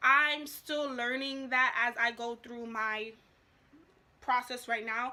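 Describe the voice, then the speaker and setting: A woman speaks very slowly in a raised, projected voice, high-pitched with a bright, sharp tone. Her pitch varies in an ordinary way. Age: young. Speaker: natural hair vlogger. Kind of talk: casual talk to camera.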